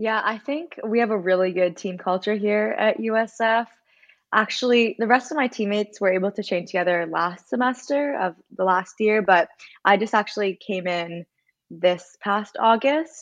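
A woman with an unremarkable speaking voice and a Canadian accent talks at medium pitch and a moderate pace over a quiet background. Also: ordinary pitch variation. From Canada. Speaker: college triathlete. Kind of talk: interview.

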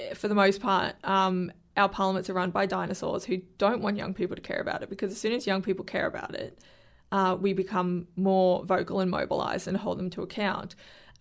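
A woman's medium-pitched voice with an Australian accent at a fairly quick pace, on a very clean recording with a silent background. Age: 20s. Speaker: young politician and animal rights activist. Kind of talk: casual interview.

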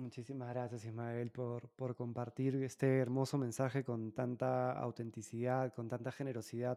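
The voice has a dark, mellow tone and monotone, flat intonation, moving at a fairly slow pace in a dry, close sound with no echo. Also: man. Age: 30s. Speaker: podcast host. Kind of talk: interview conversation. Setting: remote call. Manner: halting.

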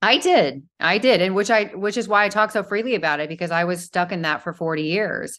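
A woman at medium pitch, with ordinary pitch variation, a plain, everyday voice, a fairly quick pace, hardly any pauses and a quiet background. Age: 50s. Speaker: model and motivational speaker. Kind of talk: casual interview.

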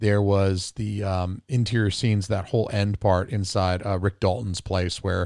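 On a very clean recording with a silent background, a man with an American accent speaks in an animated tone at a moderate pace and a fairly low pitch. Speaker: podcast guest, film graduate. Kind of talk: casual banter podcast. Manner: animated, joking.

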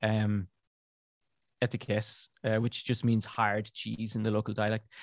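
A man with a southern Irish accent speaks at a fairly slow pace, with a dry, close sound with no echo and a quiet background. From southern Ireland, near Cork. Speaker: beer writer and podcaster. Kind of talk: interview. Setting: remote call from an attic.

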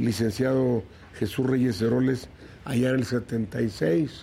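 A man speaks at medium pitch with a dark, mellow tone. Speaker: politician, senator. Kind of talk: interview.

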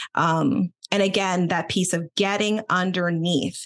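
An ordinary speaking voice against a quiet background. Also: woman. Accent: American. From Boston, US Northeast; Philadelphia. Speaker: attorney and executive coach. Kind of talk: casual interview chat.

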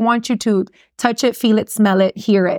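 Woman at medium pitch with ordinary pitch variation, in a dry, close sound with no echo and a very clean recording over a silent background. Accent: Miami. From Miami, Florida. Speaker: personal injury lawyer and radio host. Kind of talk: casual interview chat about business. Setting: studio.

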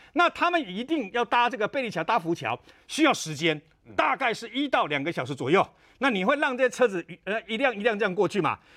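A man speaks in a raised, projected voice at a fairly quick pace. His high pitch has very wide swings and a bright, sharp tone. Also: dry, close sound with no echo. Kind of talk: TV panel discussion. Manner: animated.

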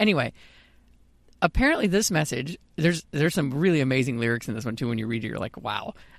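Talking at a fairly quick pace, a man with a plain, everyday voice and fairly high pitch is heard in a very clean recording with a silent background. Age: 30s. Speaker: podcast co-host. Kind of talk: casual chat.

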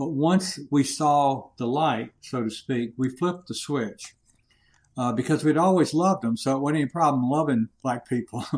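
An ordinary speaking voice from a man with an American accent, fairly high pitch, ordinary pitch variation and a moderate pace. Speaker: retired Air Force colonel, leadership consultant. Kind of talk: interview.

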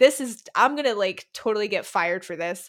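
A woman with an unremarkable speaking voice and a fairly high pitch talks at a moderate pace, recorded very cleanly against a silent background. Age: 20s. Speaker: music writer. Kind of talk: casual chat.

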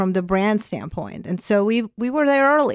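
A woman with a Russian accent talks with ordinary pitch variation in a dry, close sound with no echo. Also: very clean recording, silent background. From Azerbaijan. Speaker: corporate brand and content executive. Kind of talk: interview conversation. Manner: hesitant, many fillers.

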